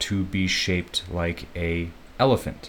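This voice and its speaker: At a very slow pace, a man speaks with a very deep, low pitch. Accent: American. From US Midwest, Chicago. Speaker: English teacher. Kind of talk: educational podcast explanation. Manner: slow and clear for learners.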